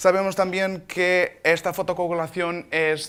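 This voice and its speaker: A man with a bright, sharp tone talks at a fairly slow pace. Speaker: doctor presenting at a laser symposium. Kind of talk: conference talk. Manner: halting, with false starts.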